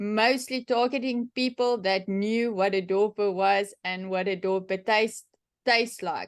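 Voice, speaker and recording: In a South African accent, a woman speaks at a fairly high pitch with ordinary pitch variation. Her pace is fairly slow against a quiet background. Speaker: sheep and cattle farmer. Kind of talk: workshop talk, Q&A answer. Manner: casual, many fillers and restarts.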